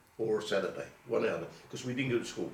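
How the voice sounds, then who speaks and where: A man's voice is heard with audible room echo. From Colchester, Essex, England. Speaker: oral history interviewee. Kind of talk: oral history interview. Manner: halting.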